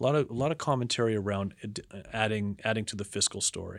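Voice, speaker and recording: In a Canadian accent, a man with a plain, everyday voice and a fairly low pitch speaks with ordinary pitch variation in a very clean recording with a silent background. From Canada, Toronto. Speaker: investment strategist. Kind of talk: interview.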